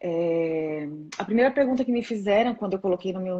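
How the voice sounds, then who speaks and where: Speaking in a São Paulo accent, a woman talks at a medium pitch with ordinary pitch variation. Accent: São Paulo accent, noticeable. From São Paulo state, Brazil. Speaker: rheumatologist. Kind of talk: live-stream interview. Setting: live stream on social media.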